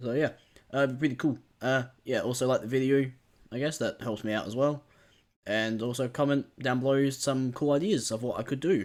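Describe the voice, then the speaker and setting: On a very clean recording with a silent background, a man talks at a moderate pace and medium pitch with ordinary pitch variation. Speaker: Pokemon gaming YouTuber. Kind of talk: casual gameplay commentary. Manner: halting, many fillers.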